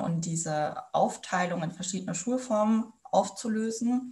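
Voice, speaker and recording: A woman talks at a moderate pace. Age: 20s. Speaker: student teacher. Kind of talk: interview. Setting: video call.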